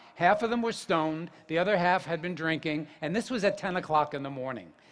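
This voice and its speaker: A man with a New Jersey accent speaks at a high pitch with ordinary pitch variation. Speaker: yoga teacher. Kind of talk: public talk.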